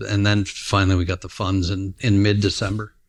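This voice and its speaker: Against a quiet background, a man with a Canadian prairie accent speaks at a moderate pace in a very deep, low, somewhat breathy voice. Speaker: grain trader, company founder. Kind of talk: casual interview conversation. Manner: halting, many fillers and restarts.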